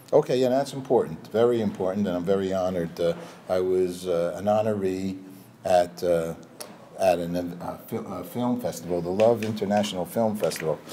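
A man with an American accent and a very deep, low pitch speaks at a moderate pace with ordinary pitch variation, over light background noise. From New York suburbs. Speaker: TV and marketing veteran; interview guest. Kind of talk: interview. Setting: Hollywood office. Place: studio. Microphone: lapel.

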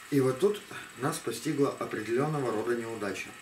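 Noticeable background noise sits behind a man talking at a fairly quick pace. His intonation is lively. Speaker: hobbyist robot builder. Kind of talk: video tutorial and demonstration. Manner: hesitant with filler sounds. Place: home room.

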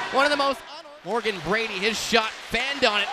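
An extremely high-pitched, raised and projected male voice with ordinary pitch variation over noticeable background noise. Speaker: hockey play-by-play announcer. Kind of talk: live hockey play-by-play commentary. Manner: clipped staccato player-name calls.

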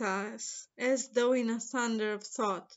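A woman with a high voice speaks very slowly in a dramatic tone yet with monotone, flat intonation, against a quiet background. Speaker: poet reading own work. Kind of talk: poem reading, contemplative and literary. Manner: slow, measured, deliberate; reflective, lyrical, dramatic build to a closing flourish. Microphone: webcam.

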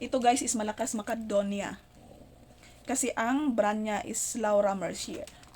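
With noticeable background noise behind her, a woman talks at a fairly slow pace in a fairly high voice, with big swings in loudness and long, frequent pauses. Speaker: overseas Filipino worker vlogger. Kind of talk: casual vlog. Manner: halting, many fillers.

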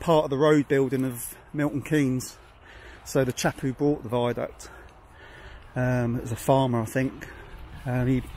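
The delivery is monotone with flat intonation at a fairly slow pace. The sound is dry with no echo, with light background noise. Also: man. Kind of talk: casual walking commentary. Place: open country. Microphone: phone near.

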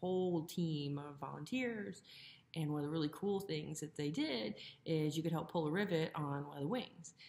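A woman speaks at a very deep, low pitch. Her intonation is lively. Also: moderate pace. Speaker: plane-building vlogger. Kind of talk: casual vlog chat. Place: home room. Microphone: phone near.

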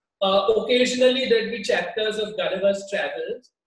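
In a room with audible echo, a man talks at an extremely high pitch with ordinary pitch variation. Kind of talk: interview answer. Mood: warm, nostalgic. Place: home room.

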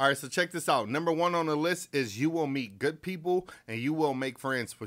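At a fairly quick pace, the talking unfolds with a quiet background. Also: man. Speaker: disc golf youtuber. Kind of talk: casual vlog chat. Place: home room. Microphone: studio mic.

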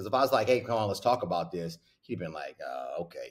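A man with a fairly low, somewhat breathy voice, very wide pitch swings and a fairly quick pace against a quiet background. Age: 40s. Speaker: basketball coach. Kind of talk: casual chat. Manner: animated. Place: office. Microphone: webcam.

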